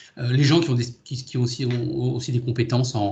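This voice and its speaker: A man with a medium-pitched voice and vocal fry speaks in a room with audible echo. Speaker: boatbuilding company executive. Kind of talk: video conference presentation. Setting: video call. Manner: fast; halting, many repetitions and fillers.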